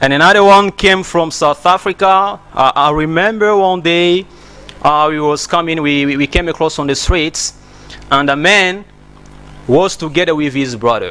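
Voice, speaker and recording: A man with a high pitch talks at a moderate pace with ordinary pitch variation. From DR Congo. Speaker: English teacher. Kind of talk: tutorial.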